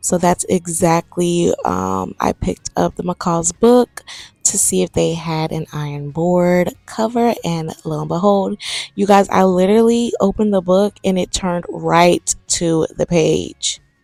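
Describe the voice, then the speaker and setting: A woman talks at a fairly slow pace in dry, close sound with no echo. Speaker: sewing vlogger. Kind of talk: casual voiceover vlog. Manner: casual, chatty.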